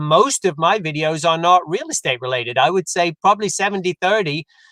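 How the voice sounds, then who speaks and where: A man with a British accent, high-pitched, with a bright, sharp tone and a fairly quick pace. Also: dry, close sound with no echo. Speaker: real estate agent. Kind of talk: interview conversation.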